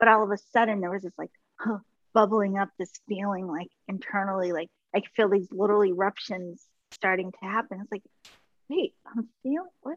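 In a dry, close sound with no echo, a woman with an unremarkable speaking voice talks at a moderate pace with ordinary pitch variation. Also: medium pitch for a woman. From US East Coast (Washington DC). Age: 40s. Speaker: Reiki master and mentor. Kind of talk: casual interview chat.

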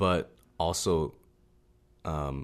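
A man speaks with a Pacific Northwest accent in a very deep, low voice. The background is quiet. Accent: Pacific Northwest American. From Seattle, Washington. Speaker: podcast co-host. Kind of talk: casual chat.

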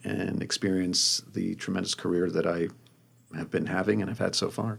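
Fairly even intonation from a man with a very deep, low pitch, captured on a very clean recording against a silent background. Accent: New Jersey. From US Northeast, New Jersey suburbs. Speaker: magazine design director. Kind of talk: interview.

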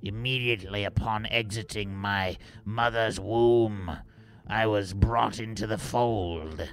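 Faint music plays behind a man doing a put-on character voice, fairly low and fairly slow, with fairly even intonation. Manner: haughty, boastful.

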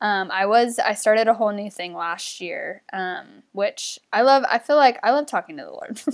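A woman with an American accent speaks at a moderate pace in an ordinary speaking voice, pitched fairly high. Her intonation is lively, her loudness swings widely, and she hardly pauses. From US South, North Carolina. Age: 20s. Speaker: former missionary. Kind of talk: casual interview chat.

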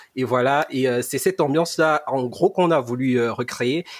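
In an ordinary speaking voice, a man talks at a moderate pace and a fairly high pitch with ordinary pitch variation, the sound dry and close with no echo. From Cameroon, Yaoundé. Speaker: podcast co-host, student. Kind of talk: casual podcast introduction.

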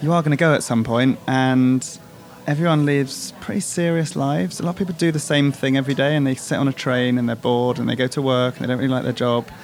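Very fast speech in a British accent plays over music in the background. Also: man, medium pitch for a man, ordinary pitch variation. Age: 40s. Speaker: artist. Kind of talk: casual chat. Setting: coffee shop.

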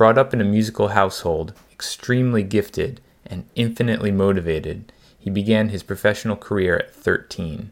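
A man with an American accent, fairly low pitch, ordinary pitch variation and a fairly quick pace. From New Jersey (Woodbridge). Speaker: podcast host, jazz musician. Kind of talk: scripted intro narration; casual interview chat. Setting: outdoors in a park.

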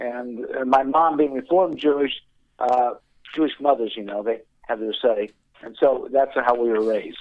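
A man with an American accent uses a normal speaking voice at medium pitch, speaking at a moderate pace with lively intonation. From Indianapolis, US Midwest. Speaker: ministry worker. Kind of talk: testimony.

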